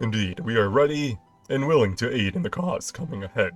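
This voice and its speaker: Faint music plays in the background as a man puts on a character voice at a medium pitch and a fairly quick pace. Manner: heroic, formal.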